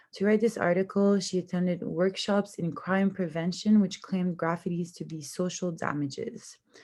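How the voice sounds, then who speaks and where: A woman speaks at a moderate pace with hardly any pauses, her pitch medium. Her tone is dark and mellow, and her intonation stays fairly even. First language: French. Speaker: university student. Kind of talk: class presentation. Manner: somewhat halting with fillers.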